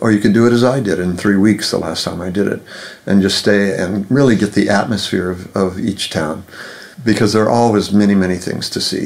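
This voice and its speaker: Talking at a fairly quick pace, a man with a fairly low pitch comes through noticeable background noise. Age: 70s. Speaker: author and translator. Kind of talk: interview conversation.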